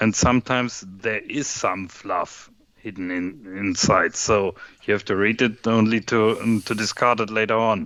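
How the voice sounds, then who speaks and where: The speaker is a man with a German accent. He keeps his intonation fairly even. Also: fairly low pitch for a man, moderate pace. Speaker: software developer. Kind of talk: casual chat while coding.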